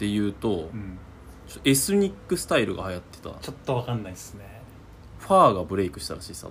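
A very fast pace with big swings in loudness. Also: man, fairly low pitch for a man, lively intonation. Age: 20s. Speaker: podcast co-host. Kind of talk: casual chat. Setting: recording at his home.

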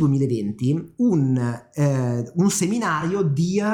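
A man with a dark, mellow tone speaks at a fairly high pitch, somewhat breathy, his pitch swinging very widely. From northern Italy, Milan. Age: 20s. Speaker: podcast co-host, business coach. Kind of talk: casual chat.

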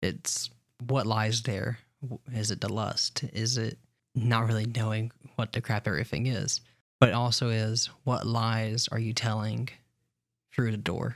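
A man speaks at a medium pitch, fairly slowly and with fairly even intonation. Long, frequent pauses come through in a very clean recording with a silent background. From US South, Alabama. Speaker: podcast co-host. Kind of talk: casual chat.

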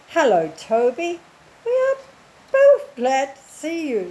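A woman's squeaky put-on character voice, high in pitch, at a fairly slow pace. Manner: friendly, welcoming.

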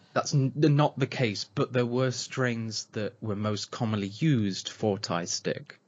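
At a fairly slow pace, a man speaks with an East Midlands accent. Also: medium pitch for a man, ordinary pitch variation. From England, Nottingham area. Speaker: podcast co-host, cannabis grower. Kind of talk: casual chat.

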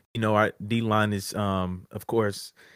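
In a very clean recording with a silent background, a man with an unremarkable speaking voice talks fairly slowly at medium pitch, the sound dry and close with no echo. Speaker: podcast co-host. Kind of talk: casual chat. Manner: joking, playful.

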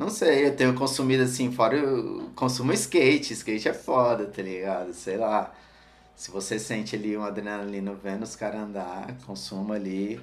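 In an unremarkable speaking voice, a man speaks at a moderate pace with fairly low pitch and ordinary pitch variation. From Brazil, Ceilândia (Federal District). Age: 30s. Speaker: skateboarder and streetwear brand owner. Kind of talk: casual chat.

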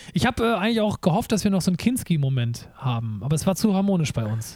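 Speaking at a very fast pace, a man swings his pitch very widely. His voice is somewhat breathy, with a dark, mellow tone. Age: 30s. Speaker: podcast host and performer. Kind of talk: casual chat.

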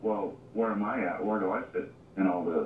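Fairly quick speech from a man at a fairly low pitch, over noticeable background noise. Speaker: near-death experience guest. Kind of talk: interview. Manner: hesitant.

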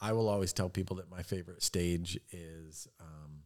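The pace is moderate throughout. An American accent comes through. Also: man. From Michigan (Fowlerville). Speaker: married guest. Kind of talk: casual chat.

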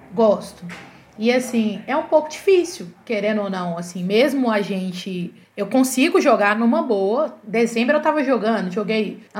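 A woman's unremarkable speaking voice, fairly high-pitched, with lively intonation and a fairly slow pace. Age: 30s. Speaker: physical education teacher. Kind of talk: casual chat.

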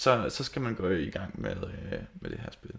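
A man's very slow speech at a medium pitch, with lively intonation. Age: 30s. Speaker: metal band lead singer, podcast guest. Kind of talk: casual chat.

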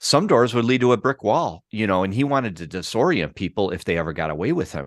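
With an American accent, a man talks at a fairly quick pace over a quiet background. It is a plain, everyday voice. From Chicago, US Midwest. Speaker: documentary filmmaker. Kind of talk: interview conversation. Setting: remote video call.

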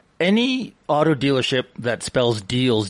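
Over noticeable background noise, a man with a Canadian accent talks with ordinary pitch variation. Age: 60s. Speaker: radio co-host. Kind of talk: casual chat.

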